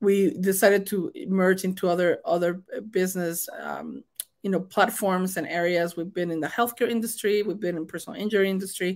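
Here a woman talks at a medium pitch and a fairly quick pace. Her intonation stays fairly even. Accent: Mexican. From Mexico. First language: Spanish. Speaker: state senator. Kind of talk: interview.

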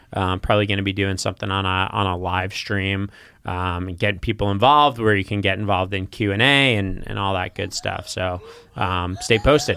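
Delivered at a fairly quick pace with fairly even intonation, this is a plain, everyday voice. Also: man, fairly low pitch for a man. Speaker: podcast host. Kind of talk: casual interview chat.

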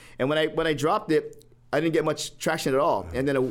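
Speech in a Hawaiian accent comes at a very fast pace with ordinary pitch variation. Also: man. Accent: Hawaii local English. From Hawaii, Honolulu. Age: 50s. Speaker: personal trainer. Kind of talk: casual chat.

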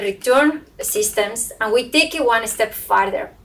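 A woman with a Spanish accent and a high pitch, at a very slow pace. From southern Spain. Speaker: brewing company sustainability manager. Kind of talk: panel discussion.

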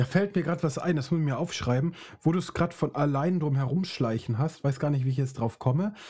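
On a very clean recording with a silent background, a man with a fairly high, somewhat breathy voice talks very fast, with ordinary pitch variation and very even loudness. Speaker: podcast host. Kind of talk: casual chat. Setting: studio.

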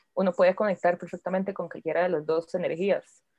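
A woman at a medium pitch and a fairly quick pace. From Costa Rica, Turrialba. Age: 20s. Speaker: witch and punk musician. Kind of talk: casual chat.

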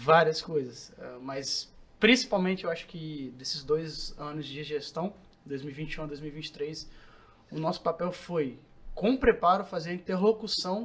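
A man talks at a fairly slow pace with a high pitch and ordinary pitch variation. His loudness swings widely. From Brazil, Vitória (Espírito Santo). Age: 20s. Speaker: lawyer and public security specialist. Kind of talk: interview.

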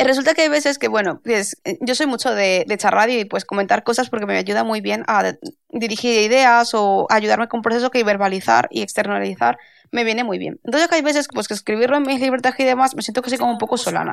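This woman talks at a very fast pace, her fairly high pitch moving with ordinary variation. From Spain, Valencia. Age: 30s. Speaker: intellectual property lawyer. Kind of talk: casual interview.

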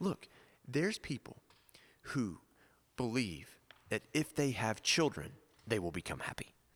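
In a dry, close sound with no echo, a man with an American accent and vocal fry speaks at medium pitch and a fairly slow pace, using very wide pitch swings and long, frequent pauses. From US South. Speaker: priest and podcast co-host.

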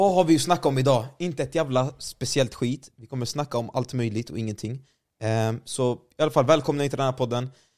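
Over a silent background in a very clean recording, a man talks at a fairly quick pace with a medium pitch and ordinary pitch variation. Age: 20s. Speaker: gaming streamer and video editor. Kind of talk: casual chat.

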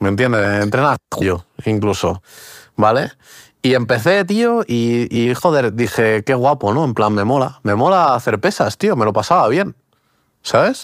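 Lively intonation from a man at medium pitch and moderate pace, on a very clean recording with a silent background. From Portugal, raised in Spain from age six. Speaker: podcast co-host. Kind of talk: casual chat. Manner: halting, many repetitions and fillers.

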